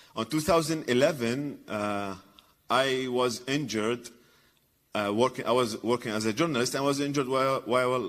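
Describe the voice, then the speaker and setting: A man with an Arabic accent, ordinary pitch variation and a moderate pace. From Iraq. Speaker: comedian and former journalist. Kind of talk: conference talk. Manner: halting, many fillers and repetitions.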